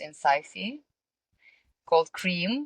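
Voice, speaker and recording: A woman speaks with a Russian accent at a very slow pace. The sound is dry and close, with no echo. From Russia, small town. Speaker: singer, model and entrepreneur. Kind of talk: podcast interview. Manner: halting, many fillers.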